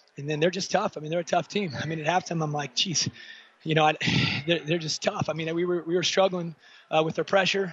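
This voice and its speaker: Over noticeable background noise, a man talks at a very fast pace in a high pitch. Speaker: high school basketball coach. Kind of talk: post-game interview. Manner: animated.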